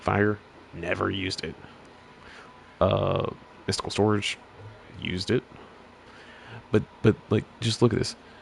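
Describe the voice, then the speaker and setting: A man with a fairly low pitch talks at a moderate pace in a monotone, flat way, with long, frequent pauses. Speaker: gaming YouTuber. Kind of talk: casual game review rant. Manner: halting, many restarts.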